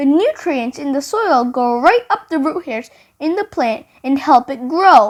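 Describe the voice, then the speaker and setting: A woman puts on a character voice. It is high-pitched with a warm tone. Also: moderate pace. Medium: read story. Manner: warm, encouraging.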